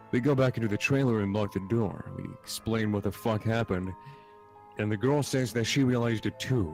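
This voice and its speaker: Music plays in the background while a man speaks fairly quickly, his pitch varying in an ordinary way. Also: medium pitch for a man. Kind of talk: reading a creepypasta story aloud, casual with cursing.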